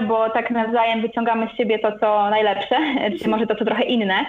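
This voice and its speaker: A woman's fairly high voice at a very fast pace. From Poland, Gdańsk. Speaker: travel blogger. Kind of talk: interview.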